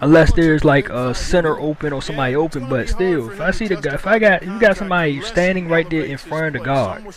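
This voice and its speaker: Lively intonation and a very fast pace come through over noticeable background noise. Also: man, fairly high pitch for a man. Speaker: gaming youtuber. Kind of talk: gameplay commentary. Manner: halting.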